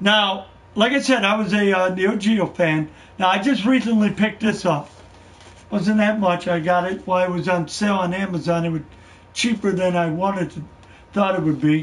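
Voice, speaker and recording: The speech is delivered in an American accent. Its pitch variation is ordinary. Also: man, high pitch for a man, moderate pace. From Wisconsin, Milwaukee area. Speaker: gaming podcaster. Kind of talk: live stream podcast, solo. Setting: live stream. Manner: halting, many fillers.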